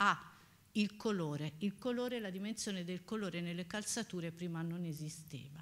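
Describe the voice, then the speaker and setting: A woman speaks in a plain, everyday voice at a moderate pace. Her pitch is fairly low, with ordinary pitch variation. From Pisa, Italy; Italy. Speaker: professor. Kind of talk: lecture. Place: hall.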